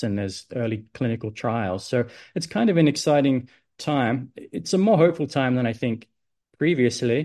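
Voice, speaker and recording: Against a quiet background, a man with an Australian accent and a dark, mellow tone talks at a moderate pace with ordinary pitch variation. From Adelaide, South Australia. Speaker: medical research scientist. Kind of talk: podcast interview.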